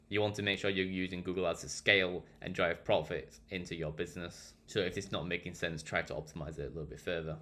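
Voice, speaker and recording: A man with a Yorkshire accent talks at a very fast pace with hardly any pauses. His pitch is very deep and low, and his intonation fairly even. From Barnsley, South Yorkshire, England. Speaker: digital marketing consultant. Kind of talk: screen-share tutorial talk. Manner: casual, with frequent fillers.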